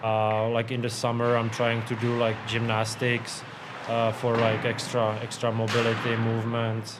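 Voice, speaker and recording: A man talks at a fairly slow pace with very even loudness and monotone, flat intonation, amid audible room echo and noticeable background noise. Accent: Czech. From Czech Republic. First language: Czech. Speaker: professional hockey goalie. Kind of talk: interview. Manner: halting, many fillers and repeats.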